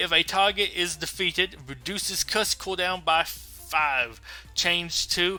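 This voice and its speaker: Music plays in the background. Over it, a man speaks at a high pitch. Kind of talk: news-style commentary to camera about game patch notes. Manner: casual, thinking aloud, with filler words.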